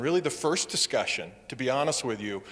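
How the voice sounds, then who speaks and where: Here is a man with an American accent. His tone is bright and sharp. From US Midwest. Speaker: wildlife agency safety program manager. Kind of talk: public presentation.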